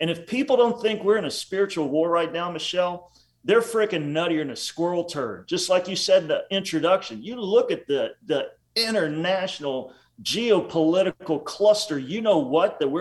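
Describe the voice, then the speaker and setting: This man's voice sits high for a male and moves with lively ups and downs. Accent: West Texas. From West Texas. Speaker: author and podcast co-host. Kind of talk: casual interview. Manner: animated.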